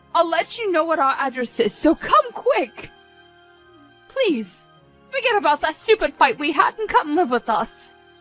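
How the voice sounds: A woman does a put-on character voice at an extremely high pitch with big pitch swings and a fairly bright tone, at a fairly slow pace. Faint music plays in the background, and the sound is dry and close with no echo.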